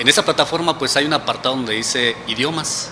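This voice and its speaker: Noticeable background noise behind a man's moderate-paced speech, pitch varying in an ordinary way. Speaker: researcher. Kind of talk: interview.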